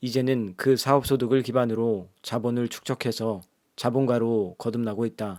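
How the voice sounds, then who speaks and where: A man speaks at a fairly slow pace with a medium pitch and fairly even intonation, on a very clean recording with a silent background. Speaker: audiobook narrator. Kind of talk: audiobook reading. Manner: soft, ASMR-style.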